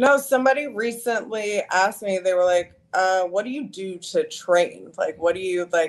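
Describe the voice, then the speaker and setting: A woman with an American accent uses an ordinary speaking voice at a medium pitch, with lively intonation and a moderate pace. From US South, South Carolina. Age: 30s. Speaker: fashion model. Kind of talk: interview. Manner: casual, filler-heavy.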